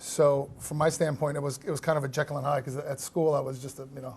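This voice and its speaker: Fairly quick, somewhat breathy man with a General American accent, fairly high pitch and monotone, flat intonation. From Los Angeles, raised by Iranian parents. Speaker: hospitality entrepreneur. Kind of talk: interview. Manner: halting, many fillers and restarts.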